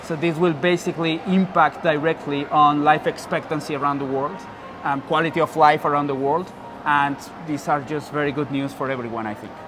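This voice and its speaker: A man speaks fairly quickly at a fairly high pitch with fairly even intonation. Music plays in the background. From Mexico. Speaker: university lecturer, researcher. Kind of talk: interview answer.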